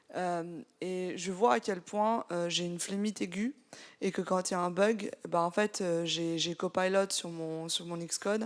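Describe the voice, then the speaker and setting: On a very clean recording with a silent background, a woman with a fairly low pitch speaks in an ordinary speaking voice. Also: fairly even intonation. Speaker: software developer. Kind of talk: live audience discussion.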